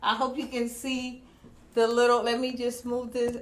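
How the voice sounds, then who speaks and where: A woman speaks loudly at a moderate pace, high-pitched and animated. Room echo and noticeable background noise surround her voice. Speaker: online business vlogger. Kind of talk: casual livestream talk. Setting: home livestream.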